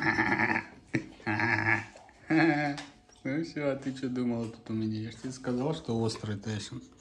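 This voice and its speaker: Noticeable noise runs behind a man who pauses often and at length. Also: medium pitch for a man. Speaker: dog-owner video blogger. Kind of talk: casual vlog narration, talking to his dogs. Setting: outdoors. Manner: animated.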